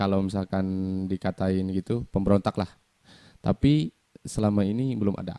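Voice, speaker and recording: Speech broken by long, frequent pauses comes in a dark, mellow tone, with a dry, close sound and no echo. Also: man, fairly low pitch for a man, ordinary pitch variation, moderate pace. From Sukabumi, West Java, Indonesia. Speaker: singer-songwriter. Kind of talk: interview. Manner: halting.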